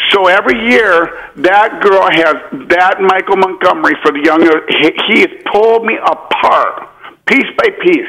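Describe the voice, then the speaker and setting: Raised and projected, a man's high voice carries lively intonation at a fairly slow pace over noticeable background noise. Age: 40s. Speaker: caller. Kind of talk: call-in talk.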